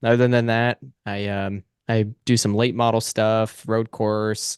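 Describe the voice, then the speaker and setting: Against a quiet background, a man speaks with an unremarkable speaking voice. His intonation is fairly even. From US Pacific Northwest, Washington State. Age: 20s. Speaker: racing driver. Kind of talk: interview.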